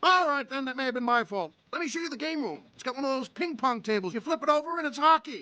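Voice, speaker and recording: In a cartoonish character voice, a man rattles along at a very fast pace with an extremely high pitch. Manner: blustery, brash.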